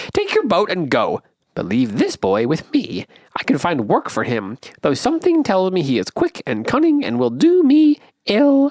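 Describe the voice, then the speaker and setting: Someone uses a put-on character voice with a fairly high pitch at a moderate pace. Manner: sly, menacing.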